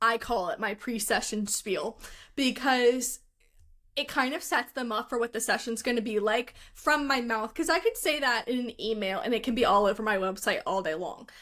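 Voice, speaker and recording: Loud and bright with a sharp tone, a woman with an American accent speaks at a fairly high pitch and moderate pace, with ordinary pitch variation, on a very clean recording with a silent background. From Philadelphia, US. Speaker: photographer. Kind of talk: casual chat.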